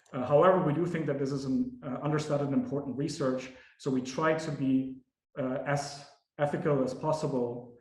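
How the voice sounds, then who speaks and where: Fairly high-pitched male speech at a fairly quick pace, fairly even intonation, audible room echo. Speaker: academic researcher. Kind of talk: lecture. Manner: many fillers and repetitions.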